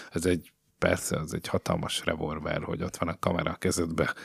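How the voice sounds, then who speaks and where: Very fast and monotone, a man speaks with flat intonation in a dry, close sound with no echo. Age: 30s. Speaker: video reporter. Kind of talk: casual chat. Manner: halting.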